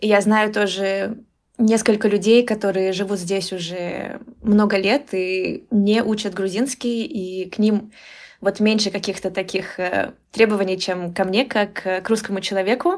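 A woman speaks in an ordinary speaking voice at a medium pitch. Her pace is fairly slow and her intonation fairly even. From Moscow region, Russia. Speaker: Russian language teacher. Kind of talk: casual interview.

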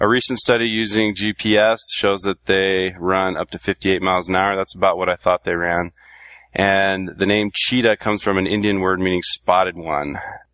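The speaker talks at a moderate pace with a Californian accent. The intonation stays fairly even. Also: man, very deep, low pitch for a man. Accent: Californian American. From Southern California. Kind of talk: casual panel chat, personal story.

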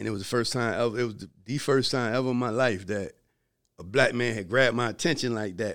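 A man's medium-pitched voice with an American accent, fairly even intonation and a very fast pace, on a very clean recording with a silent background. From Virginia Beach, US South. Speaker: film producer and author, former drug dealer. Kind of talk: casual interview storytelling.

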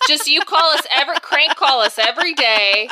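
A woman speaks in a raised, projected voice at a moderate pace. Her pitch swings very widely. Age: 30s. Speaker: podcast co-host. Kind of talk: casual chat. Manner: animated.

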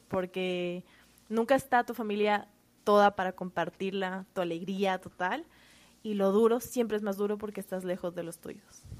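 Loudness swings widely as a woman with a normal speaking voice talks at a moderate pace, her medium pitch held in fairly even intonation. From Quito, Ecuador. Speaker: first grade teacher. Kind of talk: casual interview.

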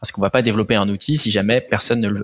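A man speaks at a fairly low pitch. The sound is dry and close, with no echo. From Paris southern suburbs, France. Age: 20s. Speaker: startup founder and CEO. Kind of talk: interview.

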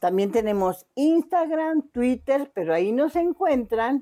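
A woman talks very slowly in a dark, mellow tone. Her pitch swings very widely. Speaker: book podcast co-host. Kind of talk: casual chat.

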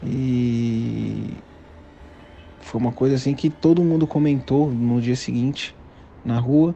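A man with a medium pitch and a dark, mellow tone talks at a very slow pace, his intonation fairly even and his speech broken by long, frequent pauses. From São Paulo, Brazil. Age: 30s. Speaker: listener. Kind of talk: recorded personal story. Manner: halting.

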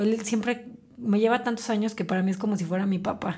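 A woman speaks at a fairly quick pace in a medium-pitched, somewhat breathy voice with a dark, mellow tone. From Mexico, Celaya, Guanajuato. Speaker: entrepreneur, tea shop franchise owner. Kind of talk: interview storytelling.

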